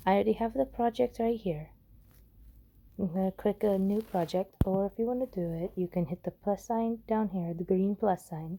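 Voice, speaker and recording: A woman with a dark, mellow tone at a fairly quick pace. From Korean, living in Texas. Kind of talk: casual app tutorial walkthrough.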